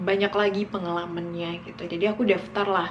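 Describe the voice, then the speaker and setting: A woman at a moderate pace in a flat monotone, with audible room echo and noticeable background noise. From West Sumatra, Indonesia (Minangkabau village near Bukittinggi). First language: Minangkabau (speaking Indonesian). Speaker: vlogger. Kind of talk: casual storytelling vlog. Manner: casual, with many fillers.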